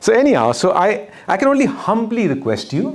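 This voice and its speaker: At a moderate pace and with very wide pitch swings, the voice carries audible room echo. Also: man. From northern India (Uttar Pradesh). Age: 50s. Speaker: speaker and documentary maker. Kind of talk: lecture.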